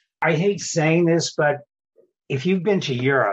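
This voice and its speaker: A somewhat breathy voice at a moderate pace. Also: man. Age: 70s. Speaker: dental lab owner. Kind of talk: interview.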